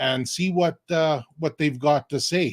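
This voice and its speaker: A man speaks at a fairly slow pace with a Canadian accent, an unremarkable speaking voice and ordinary pitch variation. The sound is dry and close, with no echo. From Alberta, Canada. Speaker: online business mentor. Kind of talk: live stream introduction. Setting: online live stream.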